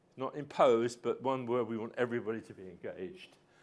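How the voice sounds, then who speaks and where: In an English accent, a man talks at a fairly quick pace. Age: 70s. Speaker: physics professor. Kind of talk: public lecture. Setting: lecture hall with audience. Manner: conversational, frequent fillers.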